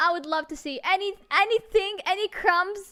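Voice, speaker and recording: Animated and bright with a sharp tone, a woman speaks with a non-native accent. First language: not English. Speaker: vtuber singer and streamer. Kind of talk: livestream chat. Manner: halting, many restarts.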